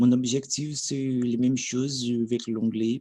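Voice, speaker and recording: With a Brazilian accent, a man speaks at a medium pitch in a dark, mellow tone. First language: Portuguese (speaking French). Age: 30s. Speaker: language learner. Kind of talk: language practice monologue. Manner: halting, with fillers and restarts.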